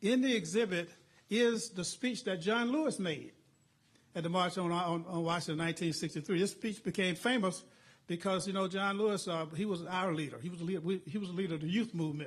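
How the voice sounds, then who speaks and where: A man with an American accent and a high pitch, talking at a very fast pace with ordinary pitch variation. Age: 70s. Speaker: civil rights veteran, committee chairman. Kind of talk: press briefing speech. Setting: museum press event.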